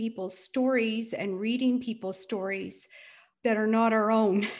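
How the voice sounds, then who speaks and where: A woman with a Canadian accent speaks at a fairly slow pace and a fairly high pitch. Her voice is somewhat breathy, with fairly even intonation. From small-town Ontario, Canada. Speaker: academic working with newcomers. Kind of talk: casual chat. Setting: video call.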